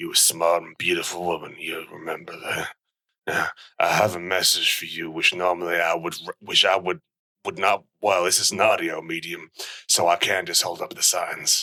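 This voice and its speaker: A man puts on a character voice. It is raspy and very deep, with a low pitch. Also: moderate pace. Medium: comedy sketch. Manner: earnest, awkwardly rambling.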